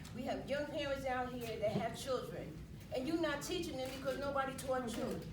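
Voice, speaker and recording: A woman's high-pitched, fairly quick speech with ordinary pitch variation, amid noticeable background noise and audible room echo. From US Northeast. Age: 60s. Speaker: retired resident. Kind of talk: community meeting testimony. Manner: animated.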